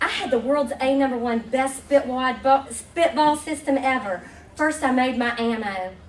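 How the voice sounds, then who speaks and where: A high-pitched woman with an American accent at a moderate pace, amid noticeable background noise and audible room echo. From West Virginia (Huntington). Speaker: humor writer. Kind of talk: reading aloud. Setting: stage with audience.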